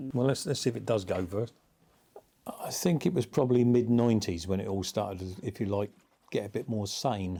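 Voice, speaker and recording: The tone is dark and mellow, with ordinary pitch variation. Delivery moves at a fairly quick pace. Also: man, medium pitch for a man. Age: 60s. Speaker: motorcycle rider. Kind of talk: interview storytelling. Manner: casual, hesitant with fillers.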